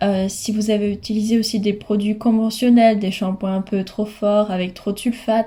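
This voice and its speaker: At a moderate pace with hardly any pauses, a woman speaks at a fairly high pitch against noticeable background noise. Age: 20s. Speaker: hair care vlogger. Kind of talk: tutorial. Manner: hesitant with frequent fillers.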